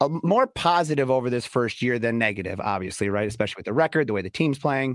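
Very fast, lively male speech at medium pitch, in a very clean recording with a silent background and a dry, close sound with no echo. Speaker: radio personality and sports fan. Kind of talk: casual sports chat.

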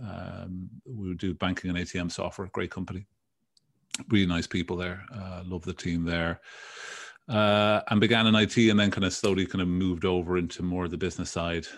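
A man with a Dublin accent speaks at a moderate pace in a very deep, low voice. His intonation stays monotone and flat against a quiet background. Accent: Irish, Dublin. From Dublin, Ireland. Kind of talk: casual interview chat.

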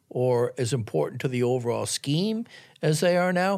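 Delivered with an American accent, the speech has lively intonation and a fairly slow pace. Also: man, very clean recording, silent background. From US Northeast, Boston. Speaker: basketball journalist. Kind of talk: casual chat. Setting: studio.

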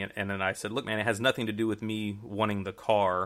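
A man with an American accent speaks at a very fast pace in a flat monotone, his fairly low pitch carrying a bright, sharp tone. The recording is very clean, with a silent background. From Houston, Texas. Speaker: magician guest. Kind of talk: casual interview, storytelling. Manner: relaxed, rambling, filler words.

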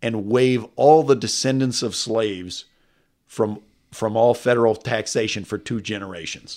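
Moderate-paced male speech with a slight Texas accent in a very clean recording, silent background. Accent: slight Texas sound. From California, Texas-born. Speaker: economist, former presidential economic adviser. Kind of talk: interview conversation. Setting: studio.

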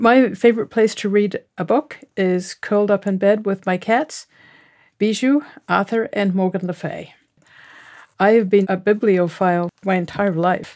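A woman's medium-pitched voice with a New Zealand accent, at a fairly slow pace with ordinary pitch variation, dry and close with no echo, on a very clean recording with a silent background. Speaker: genetic genealogist and author. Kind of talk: author interview monologue.

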